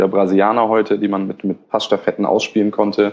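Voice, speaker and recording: At a very fast pace, a man with a fairly low pitch and dark, mellow tone speaks in a monotone, flat way. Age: 20s. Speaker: football blogger. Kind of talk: casual chat. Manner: halting.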